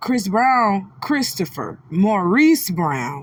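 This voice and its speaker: A woman's medium-pitched voice sounds animated and somewhat breathy, with very wide pitch swings. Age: 30s. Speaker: celebrity gossip commentator. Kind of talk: commentary on a replayed livestream clip.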